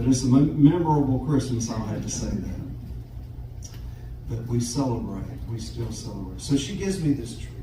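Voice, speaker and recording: The speaker talks at a fairly quick pace with a Southern US accent, leaving long, frequent pauses. Audible room echo surrounds the voice. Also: man. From US South, Jacksonville, Florida. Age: 70s. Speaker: guitarist. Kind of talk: storytelling on stage. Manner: halting, repeats words.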